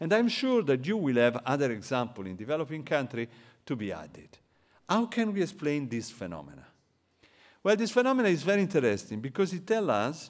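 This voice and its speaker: A man with an Italian accent speaks at a fairly quick pace and a fairly high pitch. His voice makes very wide pitch swings on a very clean recording with a silent background. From Italy. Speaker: economist. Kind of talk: lecture.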